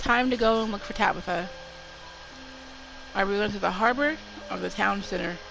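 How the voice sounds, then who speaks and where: A woman's fairly quick speech with long, frequent pauses and ordinary pitch variation, amid audible room echo and noticeable background noise. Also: medium pitch for a woman. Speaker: streamer. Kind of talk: reading aloud game text on stream. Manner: careful, avoids closing mouth fully.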